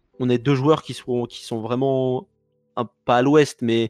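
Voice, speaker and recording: With a normal speaking voice at a medium pitch and fairly even intonation, a man is heard in a dry, close sound with no echo. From France, Paris. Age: 20s. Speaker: esports player. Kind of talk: podcast interview.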